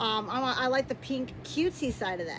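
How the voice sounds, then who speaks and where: Over noticeable background noise, a woman talks loudly at a high pitch. Her pace is moderate and her pitch variation ordinary. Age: 30s. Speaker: YouTuber. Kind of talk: casual chat. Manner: halting.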